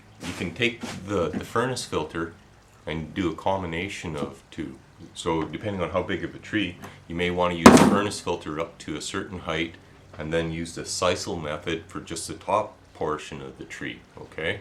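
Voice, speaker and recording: A man with a very deep, low pitch talks at a moderate pace with ordinary pitch variation and big swings in loudness. Noticeable background noise runs underneath. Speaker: crafts tutorial maker. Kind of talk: tutorial. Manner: casual, repeated filler 'okay'.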